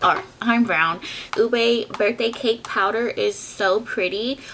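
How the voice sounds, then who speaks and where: A woman's fairly high pitch moves in an ordinary way against noticeable background noise. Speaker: beauty vlogger. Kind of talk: product review. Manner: animated.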